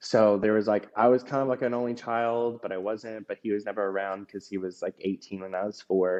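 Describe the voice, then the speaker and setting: A man with an American accent, fairly low pitch, fairly even intonation and a fairly quick pace with hardly any pauses. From US South, Georgia. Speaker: podcast guest, former drag queen. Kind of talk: personal testimony interview. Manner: hesitant, many fillers and restarts.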